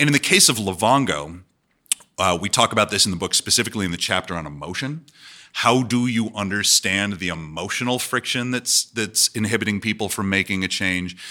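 Here a man talks at a fairly quick pace with a bright, sharp tone. His pitch is fairly low, with ordinary pitch variation. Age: 40s. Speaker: business school professor. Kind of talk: live interview. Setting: stage with audience.

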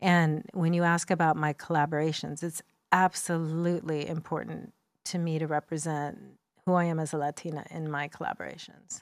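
In a very clean recording with a silent background, a woman with a very deep, low voice speaks fairly quickly in a flat monotone. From US, Mexican-American family. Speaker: makeup artist and beauty entrepreneur. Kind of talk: interview conversation.

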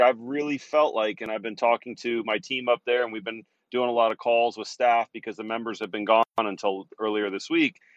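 A man's normal speaking voice at medium pitch, fairly quick with hardly any pauses, fairly even intonation, a dry, close sound with no echo and a quiet background. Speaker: cannabis industry analyst. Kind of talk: interview.

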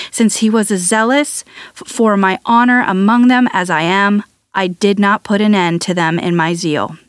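Recorded dry and close with no echo, a woman with a plain, everyday voice speaks at a medium pitch and moderate pace with ordinary pitch variation. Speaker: Bible podcast host and reader. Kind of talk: reading aloud scripture, literary audiobook style. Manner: measured, solemn, steady; formal, gently reverent.

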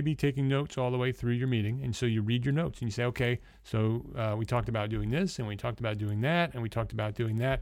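A man with an American accent speaks at a very fast pace with hardly any pauses. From New Jersey. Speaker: podcast host. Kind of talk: solo podcast teaching.

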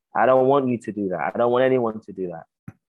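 With a London accent, a man speaks at a fairly quick pace with ordinary pitch variation. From South London, England. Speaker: playwright and theatre director. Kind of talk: interview.

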